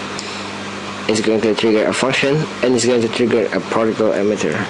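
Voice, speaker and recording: A man with a non-native accent at a medium pitch and moderate pace, with fairly even intonation and very even loudness, over noticeable background noise. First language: not English. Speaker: game developer. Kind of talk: screen-recorded software tutorial. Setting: home recording, low-quality mic. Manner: hesitant, halting.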